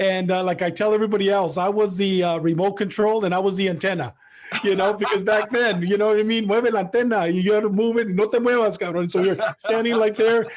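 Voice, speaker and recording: Someone talks at a very fast pace with fairly even intonation and very even loudness over noticeable background noise. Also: man, high pitch for a man. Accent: American. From San Diego, US-Mexico border. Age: 60s. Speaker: boxing show host. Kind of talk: interview.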